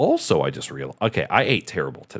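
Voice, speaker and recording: The voice has vocal fry and an animated tone. It comes through a very clean recording with a silent background. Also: man. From Michigan, US Midwest. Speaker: streamer. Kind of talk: casual live stream chat.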